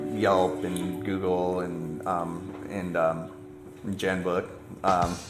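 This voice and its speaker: Loud music plays in the background as a man speaks. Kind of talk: interview answer. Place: shop.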